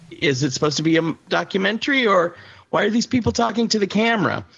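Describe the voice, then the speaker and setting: Very wide pitch swings and vocal fry mark this voice, which moves at a moderate pace. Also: man. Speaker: podcast co-host. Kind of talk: casual chat.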